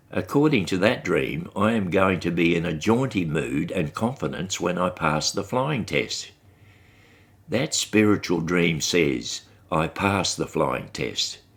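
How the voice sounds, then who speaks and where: With an Australian accent, a man with a very deep, low pitch and vocal fry speaks at a fairly slow pace with lively intonation on a very clean recording with a silent background. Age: 80s+. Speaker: podcast host. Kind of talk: personal monologue.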